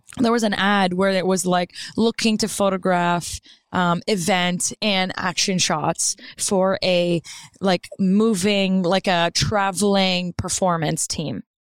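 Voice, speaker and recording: Very slow speech in a French accent keeps a very even loudness and fairly even intonation on a very clean recording with a silent background. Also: woman, medium pitch for a woman, dry, close sound with no echo. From Maritime Canada (Moncton, New Brunswick), Acadian. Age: 30s. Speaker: commercial photographer. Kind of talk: casual interview. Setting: studio.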